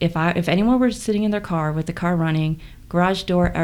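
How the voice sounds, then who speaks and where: A woman with a fairly low pitch and an American accent, at a moderate pace with fairly even intonation, over noticeable background noise. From South Korea, Incheon, then US. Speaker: personal trainer. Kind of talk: testimony.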